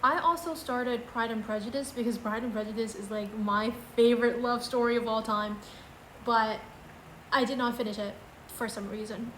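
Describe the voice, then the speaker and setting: At a moderate pace and a fairly high pitch, a woman talks with audible room echo around her. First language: not English. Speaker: book vlogger. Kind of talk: casual book ranking video.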